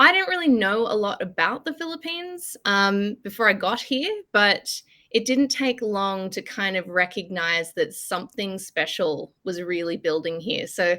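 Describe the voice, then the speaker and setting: On a very clean recording with a silent background, a woman with a medium pitch speaks at a moderate pace in an Australian accent, her intonation lively. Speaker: consultancy director and columnist. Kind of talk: podcast interview. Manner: casual, filler-heavy.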